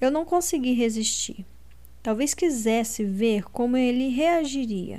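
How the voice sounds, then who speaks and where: The voice is dramatic, dark and mellow in tone, with lively intonation and a fairly slow pace. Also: woman, high pitch for a woman. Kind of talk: literary audiobook reading, first-person narration of Lina with dialogue. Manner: dramatic, expressive narration; shifts tone for each character's lines.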